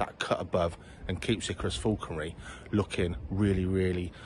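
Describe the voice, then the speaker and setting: Against light background noise, a man with a fairly low pitch and a somewhat breathy voice speaks at a moderate pace in a dry sound with no echo. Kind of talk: casual vlog chat. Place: garden. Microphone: phone near.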